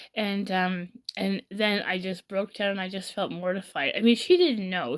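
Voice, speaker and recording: A woman's voice comes through on a very clean recording with a silent background. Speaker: vlogger sharing about mental health. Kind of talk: personal confessional vlog. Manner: fast; halting.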